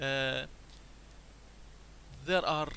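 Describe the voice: A man's bright, sharp tone carries fairly even intonation.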